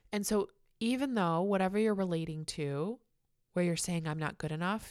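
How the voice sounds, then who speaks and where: A woman with an American accent, warm and enthusiastic in tone, fairly low-pitched with ordinary pitch variation, moderate pace. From Chicago area, US Midwest. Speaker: podcast host. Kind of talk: solo podcast monologue, casual and spiritual. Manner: warm, enthusiastic, animated.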